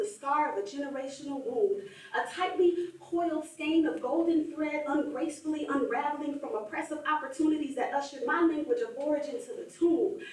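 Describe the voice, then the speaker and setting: Amid audible room echo, a woman with a high pitch and ordinary pitch variation speaks at a fairly quick pace. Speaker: spoken word poet. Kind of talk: spoken word performance. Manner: rhythmic.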